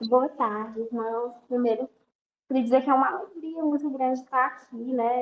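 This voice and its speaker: Her voice is pitched high for a woman, with fairly even intonation. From Brazil, interior of Ceará. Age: 20s. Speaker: missionary. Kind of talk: interview.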